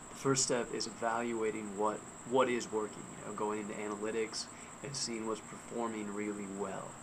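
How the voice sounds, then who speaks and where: A quiet man at a moderate pace, flat and monotone, with audible room echo and noticeable background noise. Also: fairly low pitch for a man. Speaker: freelance writer and blogger. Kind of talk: casual video blog talk. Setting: outdoors in backyard at night. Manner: quiet, hushed; hesitant, with fillers and restarts.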